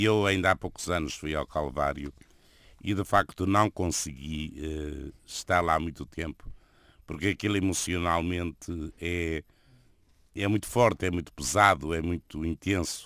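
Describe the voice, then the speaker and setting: A man with a European Portuguese accent speaks at a fairly slow pace in a very deep, low voice with ordinary pitch variation. The recording is very clean, with a silent background and a dry, close sound with no echo. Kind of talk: radio interview.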